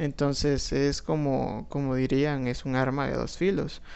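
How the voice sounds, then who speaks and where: Against audible room echo, a man with a Guatemalan accent talks at a very slow pace. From Guatemala, Guatemala City. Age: 20s. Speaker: podcaster and law student. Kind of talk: solo monologue. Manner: hesitant, many fillers.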